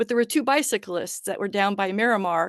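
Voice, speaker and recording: A woman's fairly high voice at a very fast pace, with a dry, close sound, no echo and a quiet background. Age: 60s. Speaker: social media contractor. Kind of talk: public meeting presentation.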